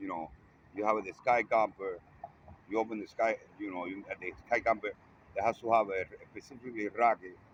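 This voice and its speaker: A man with a non-native accent and fairly low pitch, at a fairly quick pace, with long, frequent pauses and big swings in loudness. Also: fairly even intonation. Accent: non-native English speaker. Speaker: vlogger. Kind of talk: casual video monologue. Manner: halting.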